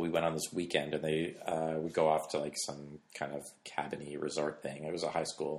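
A man talks at a moderate pace. He speaks with a Canadian accent. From Canada. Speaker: film and television director. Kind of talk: casual interview. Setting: at his home.

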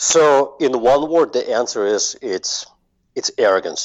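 Against a quiet background, a man with a Russian accent speaks at a fairly slow pace. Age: 40s. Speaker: marketing agency owner. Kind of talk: interview.

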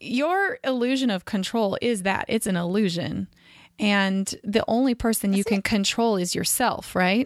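In a very clean recording with a silent background and a dry, close sound with no echo, a woman with an American accent speaks in an enthusiastic tone at a moderate pace, her pitch fairly high, her pitch variation ordinary, and her loudness very even. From California. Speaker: podcast host. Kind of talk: interview.

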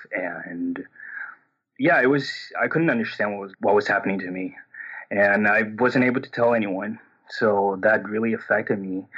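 Long, frequent pauses break up the speech. It carries a Portuguese accent. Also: man, fairly low pitch for a man, ordinary pitch variation, moderate pace. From Brazil. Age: 30s. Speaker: coaching caller. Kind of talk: personal coaching conversation. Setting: phone call. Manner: halting, many repetitions and fillers; subdued, a bit shut down.

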